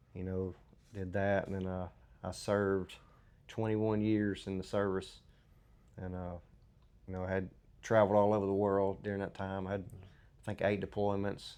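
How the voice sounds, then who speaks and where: A man's fairly low, dark, mellow voice in a Southern US accent, monotone and flat, at a moderate pace with long, frequent pauses over a quiet background. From US South, Mississippi. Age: 40s. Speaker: military veteran. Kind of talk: testimony. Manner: halting, many fillers.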